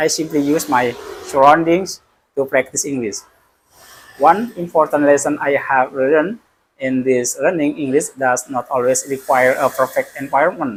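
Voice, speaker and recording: A man with an Indonesian accent, fairly high pitch, ordinary pitch variation and a moderate pace. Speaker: school principal learning English. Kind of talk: casual vlog monologue. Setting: office. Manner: halting, with self-corrections.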